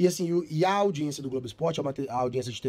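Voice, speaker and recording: This man's fairly high voice carries a dark, mellow tone with ordinary pitch variation. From Belo Horizonte, Minas Gerais, Brazil. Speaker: sports TV presenter. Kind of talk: podcast interview.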